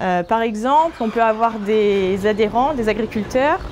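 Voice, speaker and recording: Noticeable background noise beneath a woman speaking in a fairly high pitch. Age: 20s. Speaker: grain silo manager. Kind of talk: workplace interview. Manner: hesitant, many filler sounds.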